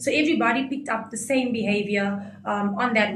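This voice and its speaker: Noise in the background is noticeable. Echo from the room can also be heard. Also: woman. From South Africa, Coloured community. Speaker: reality show contestant. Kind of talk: interview. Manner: animated.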